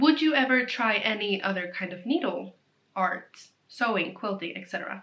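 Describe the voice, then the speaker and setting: A woman with a Swedish accent at a moderate pace. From Sweden. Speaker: knitting vlogger. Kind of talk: casual chat. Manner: rambling, fillers.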